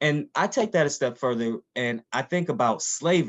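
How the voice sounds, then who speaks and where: This man speaks at a moderate pace with an American accent and lively intonation, in a dry, close sound with no echo. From Missouri, US Midwest. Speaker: endocrinologist and professor. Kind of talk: virtual workshop talk.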